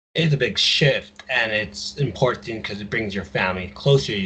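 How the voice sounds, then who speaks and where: Background noise is noticeable here. Through it, a man speaks with an American accent. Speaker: podcast co-host. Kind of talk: casual chat.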